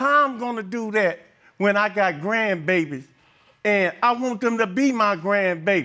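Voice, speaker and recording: With a raised, projected voice and a bright, sharp tone, a man speaks at a high pitch and a moderate pace with lively intonation on a very clean recording with a silent background. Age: 60s. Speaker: alleged father in paternity case. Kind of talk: courtroom testimony. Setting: TV courtroom. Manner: emotional.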